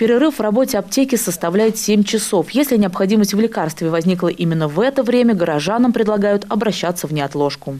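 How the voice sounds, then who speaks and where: Speech rushes along at a very fast pace with hardly any pauses, over noticeable background noise. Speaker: TV news reporter. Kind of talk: news reading.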